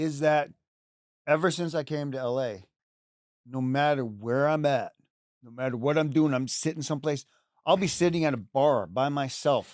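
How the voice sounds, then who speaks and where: Recorded very cleanly against a silent background, a man with a fairly high voice and ordinary pitch variation speaks at a moderate pace, his loudness swinging widely and his speech broken by long, frequent pauses. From Canada. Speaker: actor. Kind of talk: interview. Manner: halting.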